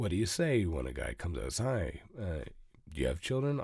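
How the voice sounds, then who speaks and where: Speaking at a moderate pace with vocal fry, a man makes very wide pitch swings. The recording is very clean, with a silent background. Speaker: parenting podcaster and author. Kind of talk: podcast talk to camera.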